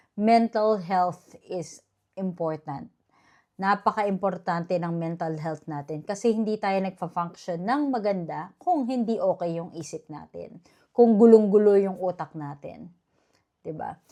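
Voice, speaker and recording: Against a quiet background, a woman with a medium pitch and a dark, mellow tone speaks at a fairly slow pace with ordinary pitch variation and big swings in loudness. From Philippines. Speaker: vlogger. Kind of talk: casual vlog monologue.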